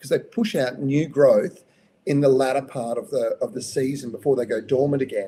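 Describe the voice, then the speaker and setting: A man with an Australian accent, speaking at a fairly quick pace. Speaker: gardening expert answering viewer questions. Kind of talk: live Q&A show. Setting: live stream. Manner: casual, conversational with hesitations.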